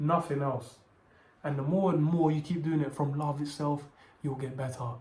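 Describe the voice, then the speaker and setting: Audible room echo surrounds a man speaking at a moderate pace with a fairly high pitch. His intonation is monotone and flat. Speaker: video essayist / content creator. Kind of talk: scripted monologue to camera. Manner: halting, stuttering.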